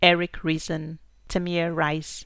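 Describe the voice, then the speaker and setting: A woman speaks in a fairly low voice. There is a silent background on this very clean recording. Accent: St. Lucian. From St. Lucia. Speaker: podcast host. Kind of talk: podcast monologue.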